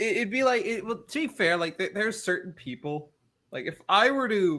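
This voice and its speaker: On a very clean recording with a silent background, a man's bright, sharp voice swings very widely in pitch. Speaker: online video creator. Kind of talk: casual chat. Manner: halting.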